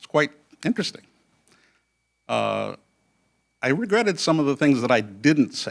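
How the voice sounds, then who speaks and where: A man speaks at a moderate pace with vocal fry. His pitch varies in an ordinary way. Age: 70s. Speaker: contest judge, lawyer. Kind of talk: judge's closing remarks. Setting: stage with audience. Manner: halting.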